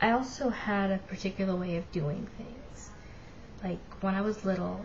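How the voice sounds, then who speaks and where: Audible room echo surrounds a woman speaking at a medium pitch with fairly even intonation. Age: 20s. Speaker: vlogger with Asperger's. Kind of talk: personal testimony vlog. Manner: casual, hesitant with fillers.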